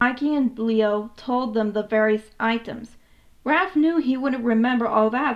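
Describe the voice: This woman talks at a fairly slow pace and a fairly high pitch. Her pitch varies in an ordinary way.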